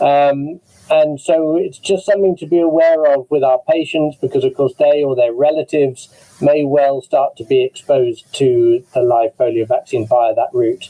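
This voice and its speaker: At a moderate pace, a man with an English accent speaks in fairly even intonation. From England. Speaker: immunologist, webinar moderator. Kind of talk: online medical panel discussion.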